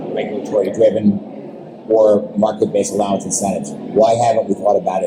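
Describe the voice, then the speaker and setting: A man talks fairly quickly amid noticeable background noise. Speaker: interviewer. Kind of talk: interview conversation. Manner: loud.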